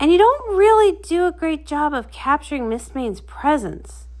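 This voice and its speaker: A woman performs a put-on character voice. She speaks at a moderate pace. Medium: read story. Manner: hesitant, eager.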